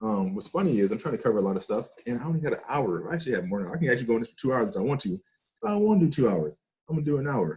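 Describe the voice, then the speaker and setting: Speaking at a very fast pace, this man sounds somewhat breathy. His pitch swings very widely. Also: medium pitch for a man, hardly any pauses. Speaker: forex trading teacher. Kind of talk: trading tutorial. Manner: animated.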